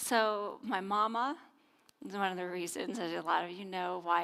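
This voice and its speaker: On a very clean recording with a silent background, a woman speaks at a fairly slow pace and fairly low pitch with ordinary pitch variation. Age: 50s. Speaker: minister. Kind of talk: sermon.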